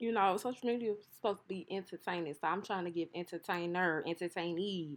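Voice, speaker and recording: Talking at a very fast pace over a quiet background, a woman sounds animated, her medium pitch showing ordinary variation. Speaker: hair and wig vlogger. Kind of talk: casual voiceover.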